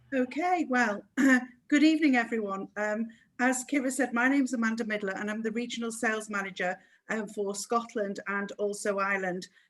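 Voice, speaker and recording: A woman speaks with a Manchester accent at a fairly quick pace. Her fairly high voice shows ordinary pitch variation. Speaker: cruise sales manager. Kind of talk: webinar presentation.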